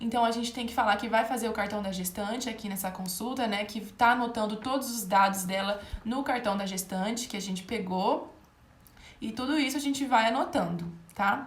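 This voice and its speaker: The voice moves at a fairly quick pace with ordinary pitch variation. Noticeable background noise and audible room echo fill the recording. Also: woman, fairly high pitch for a woman. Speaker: medical exam tutor. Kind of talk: live online lecture. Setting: livestream.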